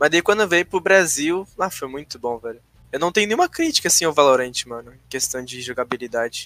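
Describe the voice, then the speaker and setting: Dry and close with no echo, a man's fairly high, bright, sharp voice moves at a fairly quick pace with lively intonation and big swings in loudness. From Rio Grande do Sul, Brazil. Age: 20s. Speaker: gamer. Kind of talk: casual chat.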